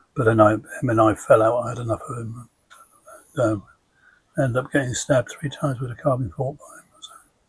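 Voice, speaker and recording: A man with an English accent speaks at a fairly quick pace in a medium pitch, his intonation fairly even. His loudness swings a lot, and he leaves long, frequent pauses. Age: 70s. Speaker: identical twin. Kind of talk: casual family interview.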